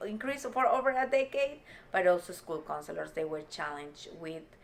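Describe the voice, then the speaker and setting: A woman speaks with lively intonation in a Spanish accent. Noticeable background noise sits behind her. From Peru. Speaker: state legislator. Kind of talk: interview. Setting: office.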